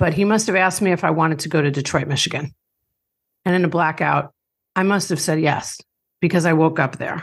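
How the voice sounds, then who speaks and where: Speaking at a moderate pace, a woman uses a very deep, low pitch with vocal fry and fairly even intonation. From Long Island, New York. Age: 50s. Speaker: author and recovery podcaster. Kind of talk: interview, personal testimony.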